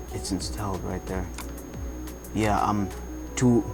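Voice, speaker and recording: A man's voice with very wide pitch swings over music in the background. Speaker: gaming tutorial maker. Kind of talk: casual screen-recording tutorial. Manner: slight stuttering.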